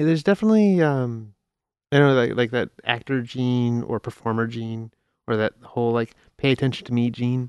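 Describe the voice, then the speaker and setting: A man's ordinary speaking voice with an American accent, medium pitch, ordinary pitch variation and a fairly quick pace, dry and close with no echo over a quiet background. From Chicago, US Midwest. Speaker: podcast host. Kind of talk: casual chat. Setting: studio.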